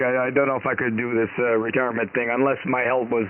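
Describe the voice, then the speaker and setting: Talking at a very fast pace, a man is heard with noticeable background noise behind him. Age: 60s. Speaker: amateur radio operator. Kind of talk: radio net chat. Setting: ham radio.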